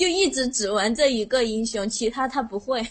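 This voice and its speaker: A woman speaks in a Sichuan accent. Her fairly high pitch shows ordinary variation. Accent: Sichuan accent in Mandarin. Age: 20s. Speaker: teacher, caller. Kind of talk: casual chat.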